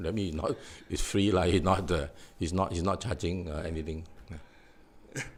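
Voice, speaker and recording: A man with a Singaporean accent, a very deep, low pitch, and a moderate pace. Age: 60s. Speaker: defendant in defamation suit, author. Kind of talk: interview. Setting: live online stream. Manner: halting, many fillers.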